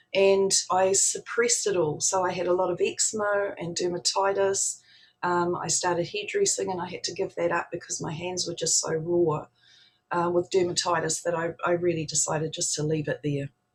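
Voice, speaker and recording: At a moderate pace, a woman talks in a fairly low, somewhat breathy voice with fairly even intonation. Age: 60s. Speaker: spiritual practitioner. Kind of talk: talk to an online audience.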